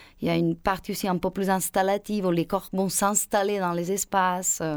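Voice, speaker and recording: A woman speaks at medium pitch with monotone, flat intonation. The recording is very clean, with a silent background. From Spain. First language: Spanish (speaking French). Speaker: choreographer and dancer. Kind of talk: interview. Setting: radio studio. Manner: halting.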